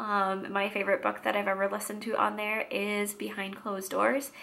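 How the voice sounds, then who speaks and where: A voice with an American accent comes through noticeable background noise. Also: woman. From Washington State, US. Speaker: vlogger. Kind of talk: casual vlog monologue.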